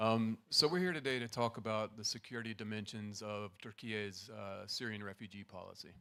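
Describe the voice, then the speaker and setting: A soft-spoken man's fairly low, bright, sharp voice at a fairly quick pace, with big swings in loudness and hardly any pauses. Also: ordinary pitch variation. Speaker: assistant professor. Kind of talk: conference presentation. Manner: trying to speak softly.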